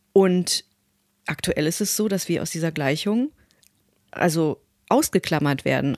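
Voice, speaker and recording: In a very clean, silent recording with a dry, close sound and no echo, a woman speaks fairly slowly at a fairly low pitch with ordinary pitch variation. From Westphalia, Germany. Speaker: voice actor. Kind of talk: interview.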